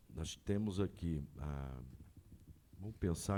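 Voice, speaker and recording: A man talks at a fairly slow pace. His tone is dark and mellow, with ordinary pitch variation. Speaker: city councillor. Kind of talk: public hearing discussion. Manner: halting.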